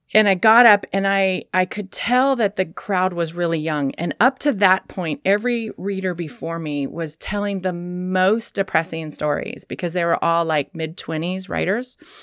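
Recorded very cleanly with a silent background and a dry, close sound with no echo, a woman with an American accent and an unremarkable speaking voice talks at a medium pitch and moderate pace, with ordinary pitch variation and hardly any pauses. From Sacramento, California. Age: 50s. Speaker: bar owner and writer. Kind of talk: casual chat.

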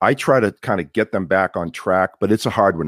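A man with a Boston accent and vocal fry is heard in a very clean recording with a silent background and a dry, close sound with no echo. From Somerville, Massachusetts (Boston area). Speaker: podcast host and tech sales professional. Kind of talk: casual interview chat. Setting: video live stream.

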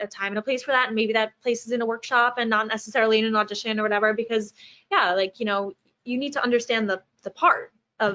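A woman with an American accent, fairly high in pitch and bright, sharp in tone, at a very fast pace with fairly even intonation. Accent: Long Island accent reduced by training. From US, Long Island. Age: young. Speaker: actress. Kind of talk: interview. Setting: video call from home.

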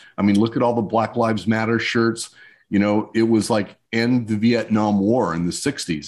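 Recorded very cleanly with a silent background, an ordinary speaking voice with an American accent moves at a moderate pace. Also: man. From New Mexico, US Southwest. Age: 60s. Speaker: screen printing business consultant. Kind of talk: interview.

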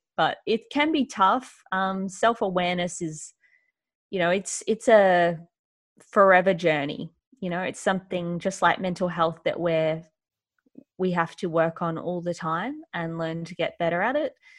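Fairly low in pitch, a woman with an Australian accent speaks at a fairly slow pace with ordinary pitch variation. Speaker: author and mental health speaker. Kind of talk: interview conversation.

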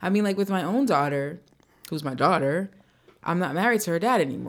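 A woman speaks with a plain, everyday voice at medium pitch and ordinary pitch variation. The recording is very clean, with a silent background. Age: 40s. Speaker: podcast co-host and author. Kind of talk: casual chat. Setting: studio.

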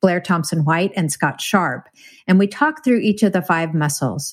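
An unremarkable speaking voice moves at a moderate pace with ordinary pitch variation on a very clean recording with a silent background. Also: woman. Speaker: podcast host. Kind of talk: casual chat.

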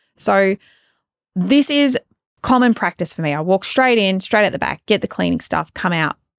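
A woman with an Australian accent speaks at medium pitch and a moderate pace. The sound is dry and close with no echo, on a very clean recording with a silent background. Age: 30s. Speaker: podcast host and salon business coach. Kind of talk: solo podcast monologue. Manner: casual, chatty.

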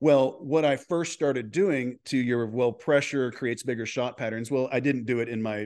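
A man with an American accent talks at a fairly quick pace in an ordinary speaking voice, medium in pitch with ordinary pitch variation, against a quiet background. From Texas. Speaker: golf coach. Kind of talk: interview.

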